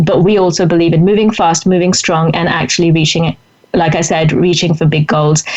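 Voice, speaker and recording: Noticeable background noise accompanies a woman speaking with a fairly low pitch at a fairly quick pace. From India. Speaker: author and writing coach. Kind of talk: interview. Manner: fast; animated.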